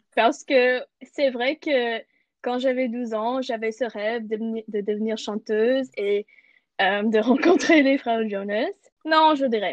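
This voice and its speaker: A woman with an ordinary speaking voice talks at a fairly slow pace, her fairly high pitch showing ordinary pitch variation. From Canada. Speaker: podcast co-host. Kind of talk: casual chat.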